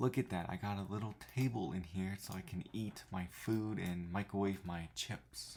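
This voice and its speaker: A man talks quietly at a fairly low pitch. He leaves hardly any pauses. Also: ordinary pitch variation, moderate pace. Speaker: gaming YouTuber. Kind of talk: gameplay tutorial. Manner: speaking quietly; casual, thinking aloud.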